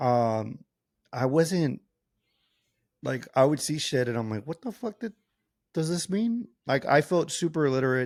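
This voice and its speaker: In a very clean, dry recording with a silent background and a close sound with no echo, a man speaks in a fairly high, animated voice with very wide pitch swings at a fairly slow pace with long, frequent pauses. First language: not English. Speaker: podcast co-host. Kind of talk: casual chat.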